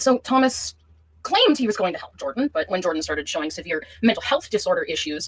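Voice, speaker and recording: A woman speaks high with very wide pitch swings. Noticeable background noise is present. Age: 20s. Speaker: caller in a live-stream call. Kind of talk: recounting a personal dispute on a call.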